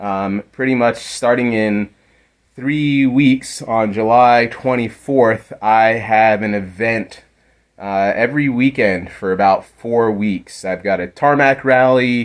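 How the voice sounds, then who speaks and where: Very slowly and with fairly even intonation, a man at medium pitch speaks with an American accent. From United States. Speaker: amateur rally car builder. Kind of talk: video walkthrough. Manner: casual, some hesitations.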